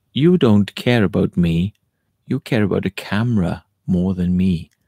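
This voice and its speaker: This man uses a put-on character voice, very deep and low. He speaks at a moderate pace. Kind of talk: playful. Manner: accusing, hurt.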